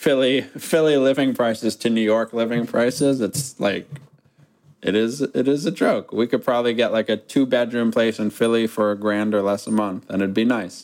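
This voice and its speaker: A man talks at a moderate pace. His voice sits at a medium pitch. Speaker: podcast host. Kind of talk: casual podcast banter.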